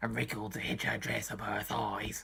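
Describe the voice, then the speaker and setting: At a moderate pace, a man talks in a raspy, put-on character voice. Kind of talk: comedic book reading.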